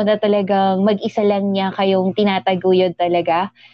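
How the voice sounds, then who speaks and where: A woman with a plain, everyday voice speaks with fairly even intonation. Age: 30s. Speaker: podcast host. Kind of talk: casual interview.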